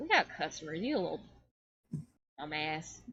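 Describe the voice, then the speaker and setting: A put-on character voice at middle pitch and a moderate pace. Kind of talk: blunt, sassy. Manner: gruff, annoyed, scolding.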